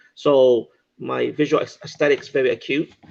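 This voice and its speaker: A man with a non-native accent. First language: not English. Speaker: gym owner. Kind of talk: panel discussion. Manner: halting.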